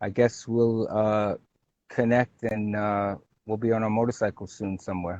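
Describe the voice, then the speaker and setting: With a Brooklyn accent, a man talks at a moderate pace in a monotone, flat intonation. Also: fairly low pitch for a man. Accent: Brooklyn New York. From New York City (Brooklyn). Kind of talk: casual chat.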